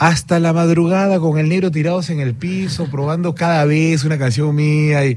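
A man talks at a moderate pace with fairly even intonation, with audible room echo and noticeable background noise around him. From Peru. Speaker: singer-songwriter. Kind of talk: radio interview. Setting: studio.

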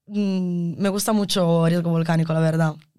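A woman speaks with an Italian accent at a fairly low pitch. Her pitch varies in an ordinary way. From Italy. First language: Italian (speaking Spanish). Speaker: environmental engineering student. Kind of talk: interview. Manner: halting.

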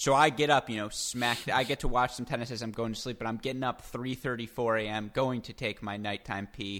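A man's medium-pitched voice, a plain, everyday voice, at a fairly quick pace in a very clean recording with a silent background. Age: 20s. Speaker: podcast host. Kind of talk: interview conversation about tennis.

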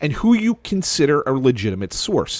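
A man with a Philadelphia accent speaks with very wide pitch swings. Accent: Delco accent, some ticks. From Delaware County, Pennsylvania. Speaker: sports journalist. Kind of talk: casual chat.

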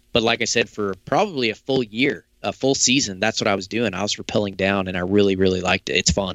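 A man with an American accent talks at a very fast pace, with hardly any pauses. His pitch is fairly low and varies in an ordinary way. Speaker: hunter and saddle climbing expert. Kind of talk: casual interview chat. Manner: confident, talkative.

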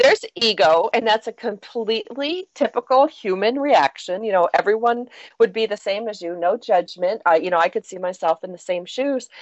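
A woman with a normal speaking voice, fairly high pitch, lively intonation, big swings in loudness and a moderate pace. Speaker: radio talk show host. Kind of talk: interview.

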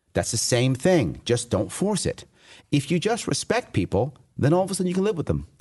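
A man speaks with vocal fry and a dark, mellow tone. His fairly high pitch moves in very wide swings. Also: fairly quick pace. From New York City. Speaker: political candidate for governor. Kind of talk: interview. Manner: fast talker.

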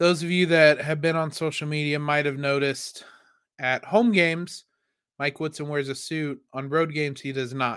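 On a very clean recording with a silent background, a man speaks in a fairly high pitch with a bright, sharp tone and fairly even intonation. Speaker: sports podcast host. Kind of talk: casual sports analysis monologue. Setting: studio microphone. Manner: pauses to hold back coughs.

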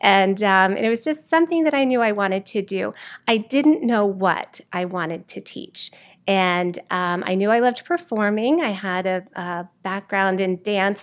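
In a very clean recording with a silent background, a woman uses an unremarkable speaking voice at medium pitch, with ordinary pitch variation and a moderate pace. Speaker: theater teacher. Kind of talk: casual interview chat.

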